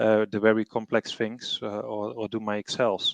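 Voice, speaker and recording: A man's voice at a moderate pace, dry and close with no echo. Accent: non-native. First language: not English. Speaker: treasury professional, panelist. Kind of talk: webinar panel discussion.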